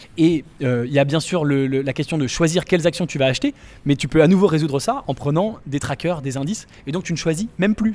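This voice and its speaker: A man speaks with lively intonation at a fairly quick pace. His pitch sits fairly high, and he has an unremarkable speaking voice. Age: 20s. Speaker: startup investor. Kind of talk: interview. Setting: startup incubator in Paris.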